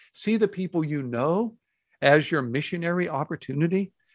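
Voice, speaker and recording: A man with a plain, everyday voice and an American accent talks with lively intonation at a fairly high pitch for a man against a quiet background. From Texas, Houston. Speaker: pastor and author. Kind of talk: interview.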